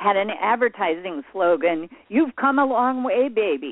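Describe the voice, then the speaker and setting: With an animated, passionate tone, a woman speaks in very wide pitch swings. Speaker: author and workshop leader. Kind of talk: radio interview. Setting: remote call for radio show.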